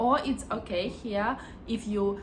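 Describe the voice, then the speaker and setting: With a Ukrainian accent, a woman talks at a medium pitch with ordinary pitch variation over noticeable background noise. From Ukraine. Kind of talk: casual talk to camera.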